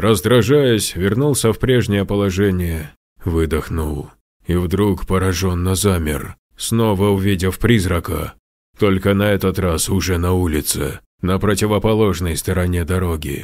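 A man puts on a character voice with a very deep, low pitch at a moderate pace. The recording is very clean with a silent background. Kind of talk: horror narration.

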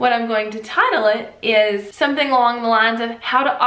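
The room echo around this woman's voice is audible. She keeps a moderate pace. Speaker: online video creator. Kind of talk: tutorial. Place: home room.

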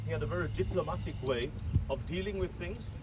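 A man talks at a fairly quick pace. There is light noise in the background. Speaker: guide telling history. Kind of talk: storytelling tour commentary. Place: open country.

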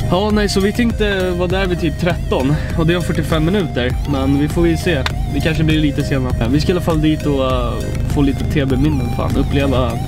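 A man at a moderate pace, dry and echo-free, with clear music playing behind him. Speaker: vlogger. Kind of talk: casual vlog chat. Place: car. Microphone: phone near.

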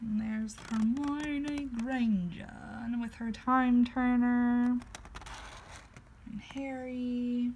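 A woman's high-pitched voice at a very slow pace, with long, frequent pauses, fairly even intonation and light background noise. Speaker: book reviewer. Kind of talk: book walkthrough, casual talk to camera. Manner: not whispered. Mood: cheerful, gentle. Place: home room. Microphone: phone near.

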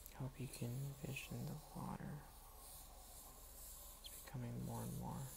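The speech moves at a fairly slow pace with long, frequent pauses. Noticeable background noise runs throughout. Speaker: ASMR creator. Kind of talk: ASMR soft-spoken talk while drawing. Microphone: phone near.

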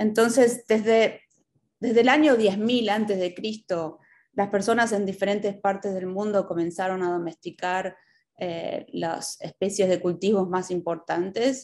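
A woman speaks in a Rioplatense accent at a very slow pace. Her pitch variation is ordinary. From Buenos Aires, Argentina. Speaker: extension educator and agronomist. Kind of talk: lecture. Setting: video call. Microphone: video call.

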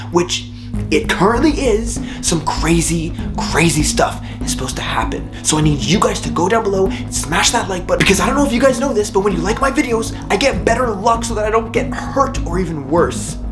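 A man talks fairly quickly. Clear music can be heard behind him. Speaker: vlogger. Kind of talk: casual vlog chat. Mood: playful secretive tone. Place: home room. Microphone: phone near.

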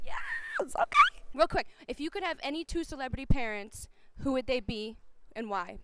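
A woman speaks in a raised, projected voice with a high pitch, an upbeat, bubbly tone and lively intonation at a moderate pace. The sound is dry with no echo, over loud background noise. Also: big swings in loudness. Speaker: on-camera host. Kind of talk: red carpet and street interview host. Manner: upbeat, bubbly, chatty, comedic. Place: hall. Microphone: handheld.

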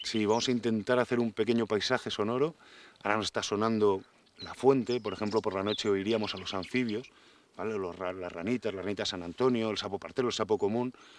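An ordinary speaking voice from a man, fairly low in pitch, fairly quick, with fairly even intonation, dry sound with no echo and light background noise. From Spain. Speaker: forest engineer and nature promoter; interviewee. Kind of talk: interview. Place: forest. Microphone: lapel.

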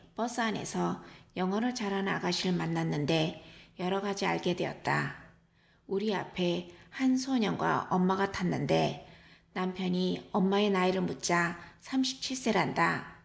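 A woman speaks in a calm tone at a very slow pace, with audible room echo. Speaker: travel vlogger. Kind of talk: travel diary narration. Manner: calm, reflective.

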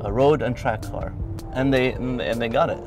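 Clear music plays behind a man speaking at a moderate pace. His voice sounds dry, with no echo. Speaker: car reviewer. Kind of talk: car review commentary. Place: car.

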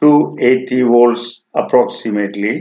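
A man talks at a slow pace with ordinary pitch variation. Audible room echo surrounds his voice.

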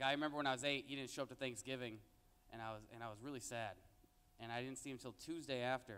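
The man talks at a very fast pace. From Mexican-American, raised in a Mexican town. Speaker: stand-up comedian. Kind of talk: stand-up comedy set with jokes and crowd interaction. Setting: stage with audience. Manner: conversational, with filler words and laughing at his own punchlines. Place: stage. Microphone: handheld.

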